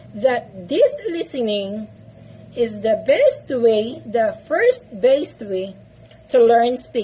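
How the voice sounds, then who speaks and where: Speaking with a Filipino accent, a woman has a high pitch over noticeable background noise. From Philippines. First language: Filipino language (not English). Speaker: English-speaking vlogger. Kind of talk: tutorial. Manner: repetitive, emphatic.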